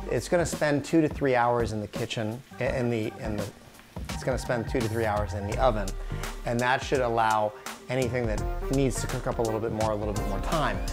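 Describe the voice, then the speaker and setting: Clear music plays in the background as a man talks at a fairly quick pace. His pitch varies in an ordinary way. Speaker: cooking show host. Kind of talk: tutorial. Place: kitchen.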